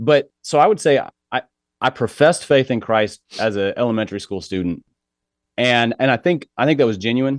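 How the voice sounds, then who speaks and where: Here a man of medium pitch has an unremarkable speaking voice, speaking at a moderate pace with lively intonation. The sound is dry and close with no echo, over a quiet background. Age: 40s. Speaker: author and pastor's kid. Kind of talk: interview conversation.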